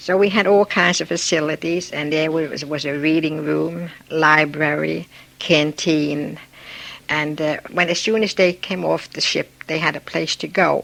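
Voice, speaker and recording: A woman with a very deep, low pitch and vocal fry talks at a fairly slow pace with fairly even intonation. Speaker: immigrant interviewee. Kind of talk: oral history interview.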